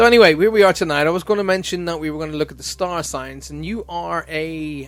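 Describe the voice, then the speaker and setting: With music in the background, a man with an Irish accent speaks very fast at a fairly high pitch. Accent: Irish accent, mistaken for American. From Ireland. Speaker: radio host. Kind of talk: casual chat.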